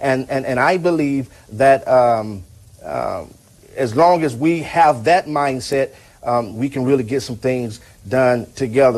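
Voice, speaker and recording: Delivered at a fairly slow pace, this is an ordinary speaking voice. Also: man. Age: 30s. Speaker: pastor and talk show host. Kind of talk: call-in show.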